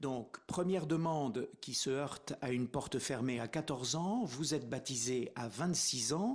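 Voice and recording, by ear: Speaking at a fairly slow pace, a man with a medium pitch uses ordinary pitch variation.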